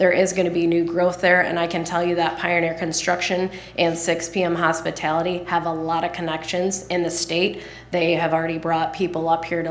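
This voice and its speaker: A woman's fairly low voice carries noticeable background noise and audible room echo around it. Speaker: economic development presenter. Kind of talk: public meeting presentation. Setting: city council meeting.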